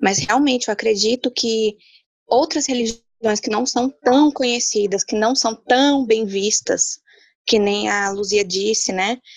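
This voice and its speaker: In an ordinary speaking voice, a woman talks at a fairly slow pace with a fairly high pitch and ordinary pitch variation. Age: 20s. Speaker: entrepreneur. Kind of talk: casual panel discussion.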